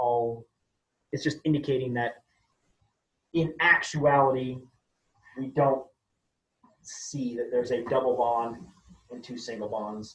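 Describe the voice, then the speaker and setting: A man with medium pitch and a somewhat breathy voice speaks at a fairly slow pace, with fairly even intonation. His loudness swings widely, and his pauses are long and frequent. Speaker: chemistry teacher. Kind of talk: lecture.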